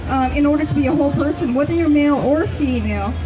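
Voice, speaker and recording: Very fast talking from a woman amid audible room echo and noticeable background noise. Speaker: naturopathic consultant. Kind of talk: public talk. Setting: outdoor market talk. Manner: many fillers (um, you know).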